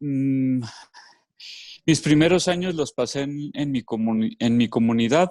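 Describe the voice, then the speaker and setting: Against a quiet background, a man talks fairly slowly in a fairly high voice with ordinary pitch variation. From Mexico, Los Altos de Jalisco. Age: 30s. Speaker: educator and former religious brother. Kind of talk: casual interview. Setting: video call.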